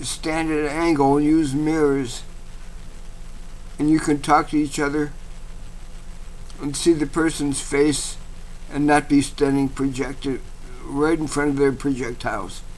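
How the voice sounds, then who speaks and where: Speaking at a fairly slow pace with long, frequent pauses, a man with a fairly high pitch keeps a monotone, flat intonation. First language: not English (unnamed native language). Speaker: vlogger / eBay seller. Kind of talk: casual monologue vlog. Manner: halting, many fillers.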